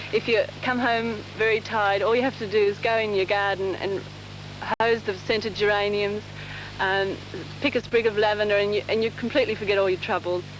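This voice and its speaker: A woman's flat, monotone delivery at medium pitch and a fairly quick pace, over noticeable background noise. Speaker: immigrant family member in documentary. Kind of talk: documentary interview. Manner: halting, with many fillers.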